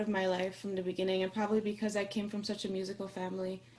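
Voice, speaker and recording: A woman's somewhat breathy voice with an Iranian accent. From Austria. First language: Farsi. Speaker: singer-songwriter. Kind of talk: casual chat.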